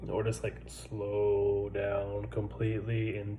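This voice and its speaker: A man is heard over noticeable background noise. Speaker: military service member. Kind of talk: casual talk to camera.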